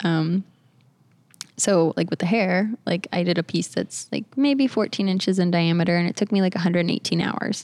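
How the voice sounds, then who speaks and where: Recorded with a dry, close sound and no echo, a woman speaks in a plain, everyday voice at a fairly low pitch. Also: very clean recording, silent background. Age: 20s. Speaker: artist. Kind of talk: casual chat.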